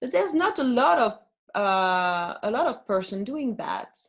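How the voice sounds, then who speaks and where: A woman talks at a fairly slow pace with lively intonation. Her pitch sits in the medium range. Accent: French. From France. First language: French. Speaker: flautist and singer. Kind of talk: interview.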